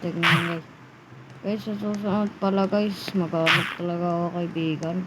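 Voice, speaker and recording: A woman's fairly low, monotone voice at a moderate pace, with audible room echo and noticeable background noise. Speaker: gaming YouTuber. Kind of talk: gameplay commentary. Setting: at home. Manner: loud.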